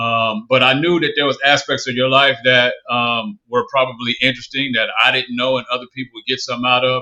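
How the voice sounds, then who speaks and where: A man with a medium pitch talks in a Southern US accent. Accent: Southern, picked up after moving. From California, Bay Area. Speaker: podcast host. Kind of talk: interview conversation. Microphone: choppy video connection.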